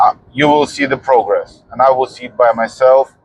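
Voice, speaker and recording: A man with a strong non-native accent speaks at a fairly slow pace and a medium pitch. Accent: heavy foreign. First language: not English. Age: 40s. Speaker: fitness vlogger. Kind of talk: personal vlog monologue. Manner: halting.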